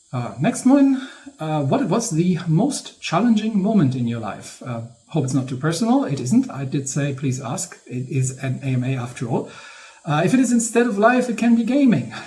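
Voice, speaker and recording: A man at a moderate pace, fairly high in pitch with very wide pitch swings, in a room with audible echo. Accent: German. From northern Germany, near Hanover. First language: German. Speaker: gaming and history YouTuber. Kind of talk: Q&A monologue. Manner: halting, many fillers.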